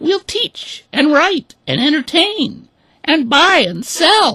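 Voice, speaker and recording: A squeaky, put-on character voice pitched high and delivered at a very slow pace. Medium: read story. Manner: insistent, aggrieved.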